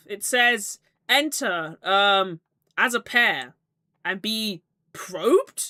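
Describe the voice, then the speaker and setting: Using a put-on character voice with lively intonation, a woman mumbles at medium pitch and a very slow pace, with long, frequent pauses, in a dry, close sound with no echo. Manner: mumbling.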